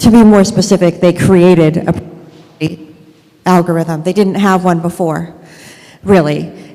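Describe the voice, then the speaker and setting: Against noticeable background noise, a woman speaks at a fairly slow pace with a fairly low pitch and monotone, flat intonation. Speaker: Amazon seller advocate, consultant. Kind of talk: conference presentation. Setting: stage with audience. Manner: many filler ums.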